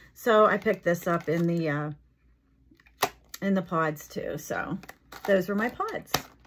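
Intonation stays fairly even as the speaker talks at a very slow pace. Light background noise can be heard. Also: woman. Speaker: product haul vlogger. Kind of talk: casual vlog chat. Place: home room. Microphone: phone near.

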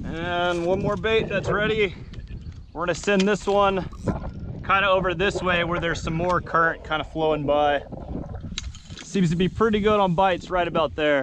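This man has a high pitch, fairly even intonation and a moderate pace, with long, frequent pauses, a dry sound with no echo, and noticeable background noise. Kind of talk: casual vlog commentary. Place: boat. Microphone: phone near.

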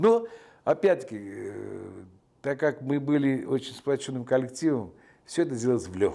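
With lively intonation, a man speaks in a dark, mellow tone. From Georgia, Tbilisi; Georgia. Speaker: film director. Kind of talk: interview; interview answer. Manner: hesitant with frequent filler sounds. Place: home room.

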